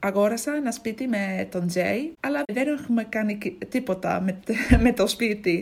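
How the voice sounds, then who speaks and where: Speaking at a fairly slow pace, a woman with an English accent uses lively intonation at a fairly high pitch. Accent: English accent in Greek. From England, Ipswich. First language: English (speaking Greek). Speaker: language learner. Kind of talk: casual chat. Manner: halting.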